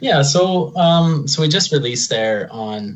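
With an Albertan accent, a man speaks at a fairly high pitch, his voice somewhat breathy and swinging very widely in pitch. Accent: Canadian (Alberta). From Alberta, Canada (Lacombe). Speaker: drummer in a rock band, electrician. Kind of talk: interview.

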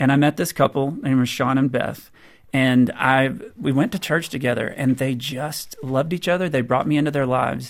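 A man with an unremarkable speaking voice talks at a fairly high pitch with fairly even intonation. The recording is very clean, with a silent background. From US South. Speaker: author on marriage. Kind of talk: radio interview.

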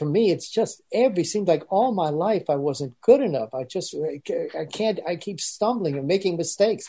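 Speaking at a moderate pace with lively intonation, a man has a fairly high pitch, a dark, mellow tone and a slightly husky edge.

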